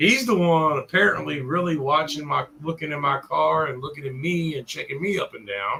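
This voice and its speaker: With a Southern accent, a man with a fairly high voice talks at a moderate pace with ordinary pitch variation and hardly any pauses. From US South, Richmond, Virginia. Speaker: live streamer. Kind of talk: casual storytelling on livestream. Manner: animated.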